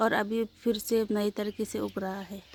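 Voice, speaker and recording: Her intonation monotone and flat, a woman talks at a fairly high pitch. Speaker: vlogger. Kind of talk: casual vlog garden tour. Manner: halting.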